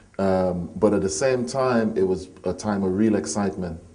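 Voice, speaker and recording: A man's very deep, low voice with audible room echo. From Trinidad and Tobago, near Port of Spain. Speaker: poet and musician. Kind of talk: interview.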